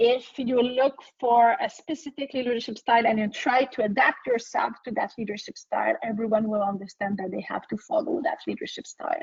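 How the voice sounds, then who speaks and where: Someone with a French accent speaks at a fairly quick pace with lively intonation and hardly any pauses. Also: woman, high pitch for a woman. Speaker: HR consultant and entrepreneur. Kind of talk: webinar Q&A. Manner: halting.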